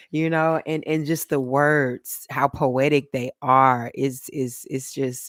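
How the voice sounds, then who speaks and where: Speech at a very slow pace, very cleanly recorded against a silent background. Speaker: tarot reader. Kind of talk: live-stream tarot reading. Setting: live stream. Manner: loud when excited.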